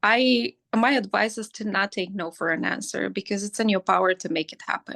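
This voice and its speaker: A woman with a non-native accent speaks at a medium pitch with ordinary pitch variation, her tone bright and sharp with vocal fry. The sound is dry and close with no echo, and her loudness swings widely. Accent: foreign. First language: not English. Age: 40s. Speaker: hairstylist and educator. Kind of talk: interview conversation. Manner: animated; repetitive stammering.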